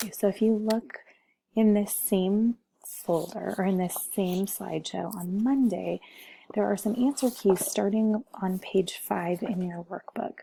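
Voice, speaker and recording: A soft-spoken woman talks at a fairly slow pace with ordinary pitch variation. Her voice is somewhat breathy. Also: medium pitch for a woman. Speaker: teacher. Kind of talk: tutorial.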